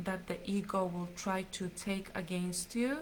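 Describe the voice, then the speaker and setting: A woman talks at a very slow pace in a medium pitch. Her intonation is monotone and flat, and her voice is somewhat breathy. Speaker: spiritual teacher. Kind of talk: live stream teaching. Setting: live stream.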